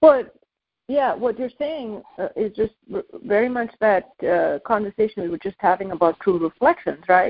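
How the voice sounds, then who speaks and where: A woman at a fairly high pitch and moderate pace, a plain, everyday voice. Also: lively intonation. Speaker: meditation teacher answering callers. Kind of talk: call-in counseling conversation. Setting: phone call-in show.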